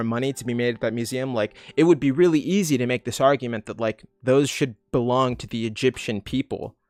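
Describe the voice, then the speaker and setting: With an ordinary speaking voice, a man talks at a fairly quick pace in a medium pitch, with hardly any pauses. The sound is dry and close, with no echo. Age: 30s. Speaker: youtuber answering viewer questions. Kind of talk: livestream Q&A. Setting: livestream from home. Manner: casual, filler-heavy. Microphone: laptop setup, unsure of sound.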